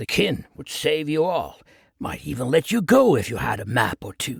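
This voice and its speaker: A man puts on a raspy character voice at a moderate pace, fairly high for his sex. His pitch swings very widely and his loudness rises and falls sharply. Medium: read story. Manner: menacing, crude.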